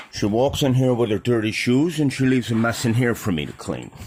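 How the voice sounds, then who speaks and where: Over noticeable background noise, a man speaks at a medium pitch. His pace is moderate. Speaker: home video vlogger. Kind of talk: casual vlog monologue.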